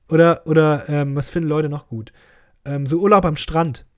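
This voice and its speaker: A normal speaking voice from a man, fairly high in pitch, at a moderate pace on a very clean recording with a silent background. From Germany, Krefeld. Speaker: podcast host, comedian. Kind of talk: casual solo monologue, listener Q&A. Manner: joking, with frequent laughs.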